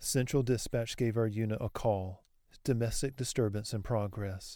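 In a very clean recording with a silent background, a man speaks at a medium pitch and moderate pace. His tone is intense yet dark and mellow, with fairly even intonation. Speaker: horror fiction narrator. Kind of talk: first-person horror narration, scripted, reading aloud. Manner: tense, brooding, intense.

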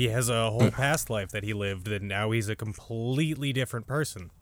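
In a very clean recording with a silent background, an ordinary speaking voice moves at a fairly quick pace with ordinary pitch variation. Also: man. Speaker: anime podcast guest. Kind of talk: casual chat.

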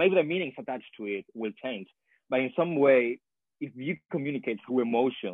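A man with a Spanish accent speaks at a medium pitch. His delivery is fairly quick with lively intonation. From Chile. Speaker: PhD student in sociology. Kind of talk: interview.

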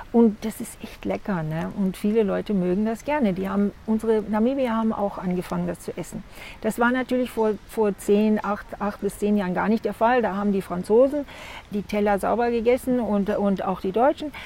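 Noticeable background noise surrounds a woman's voice. She talks at a moderate pace, medium in pitch with ordinary variation. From Namibia, Otjiwarongo. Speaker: crocodile farm owner. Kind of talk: casual interview. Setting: outdoors in a garden.

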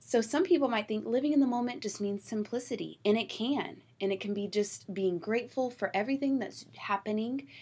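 A somewhat breathy woman's voice with ordinary pitch variation, in a very clean recording with a silent background. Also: fairly high pitch for a woman, fairly quick pace. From Georgia, US South. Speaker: podcast host. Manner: excited, enthusiastic.

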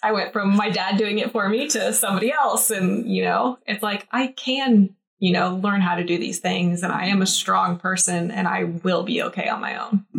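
Speaking at a moderate pace with hardly any pauses, a woman has an unremarkable speaking voice, medium in pitch with ordinary variation. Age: 30s. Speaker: bikini competitor and social media manager. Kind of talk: casual interview.

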